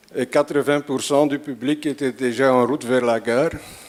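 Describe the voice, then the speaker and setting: A man speaks in an Antwerp accent at a fairly high pitch. His intonation is monotone and flat. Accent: Antwerp Flemish accent in French. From Belgium, Antwerp (Flanders). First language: Flemish (Dutch) (speaking French). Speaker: conference speaker, math visualization artist. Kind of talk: lecture. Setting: stage with audience. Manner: halting, with repetitions.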